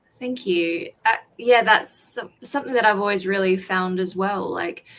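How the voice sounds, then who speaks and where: Here a woman speaks with a South Australian accent. Her pitch is medium. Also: ordinary pitch variation, moderate pace. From South Australia, Adelaide. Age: 20s. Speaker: author. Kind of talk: casual chat.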